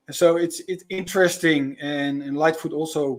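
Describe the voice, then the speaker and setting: A man in a Dutch accent, fairly high in pitch, at a moderate pace. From Netherlands. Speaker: spiritual guide and sound healer. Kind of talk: live podcast interview. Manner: halting, many repetitions.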